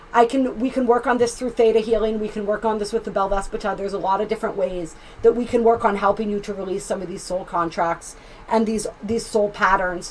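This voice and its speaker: Talking at a very fast pace, a woman with a fairly high pitch sounds animated, with noticeable background noise behind her. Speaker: tarot reader and astrologer. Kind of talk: tarot reading.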